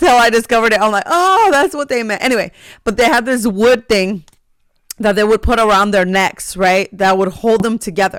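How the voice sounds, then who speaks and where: The delivery runs at a fairly quick pace on a very clean recording with a silent background. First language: not English. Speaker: podcast host. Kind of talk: casual chat.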